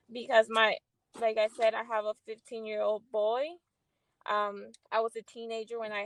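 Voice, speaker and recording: Speaking in a Spanish accent, a woman keeps a moderate pace. Her intonation is monotone and flat. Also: dry, close sound with no echo. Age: 30s. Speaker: guest. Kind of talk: casual chat. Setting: livestream. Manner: halting.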